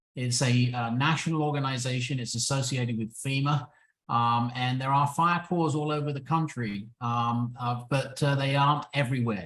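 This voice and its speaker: A man with an American accent, fairly even intonation and a moderate pace. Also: medium pitch for a man. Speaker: retired firefighter. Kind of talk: webinar presentation. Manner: halting with fillers.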